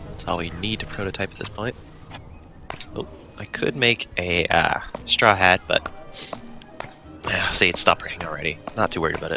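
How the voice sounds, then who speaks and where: A man with a very deep, low voice speaks at a fairly quick clip, leaving long and frequent pauses while music plays in the background. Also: ordinary pitch variation. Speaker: gaming video creator. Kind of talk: casual gameplay commentary. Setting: home microphone, low quality.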